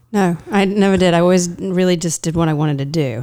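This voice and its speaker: In a very clean recording with a silent background, a woman with a slight English accent speaks fairly quickly in a fairly low pitch with a dark, mellow tone. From eastern England. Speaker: actor, voiceover artist and headshot photographer. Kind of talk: casual interview.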